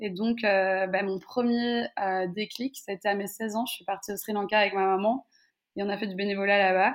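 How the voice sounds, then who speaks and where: A woman at medium pitch and a moderate pace, her intonation monotone and flat. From Belgium, Brussels. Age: 20s. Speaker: travel content creator. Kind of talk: interview.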